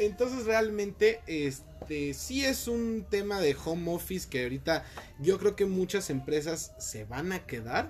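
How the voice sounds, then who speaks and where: Over music in the background, the speaker moves at a fairly slow pace with very wide pitch swings. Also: man, high pitch for a man. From Mexico City. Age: 20s. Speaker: call center worker. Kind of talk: casual chat.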